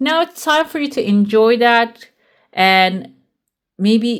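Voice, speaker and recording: Against a silent background on a very clean recording, a woman's fairly high voice carries lively intonation. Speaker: tarot reader. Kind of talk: tarot reading. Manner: casual, with fillers.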